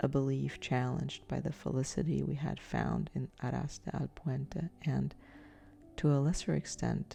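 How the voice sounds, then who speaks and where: A calm, soft-spoken woman talks at a fairly slow pace over music in the background. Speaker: sleep story narrator. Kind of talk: sleep story. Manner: soft-spoken, calm.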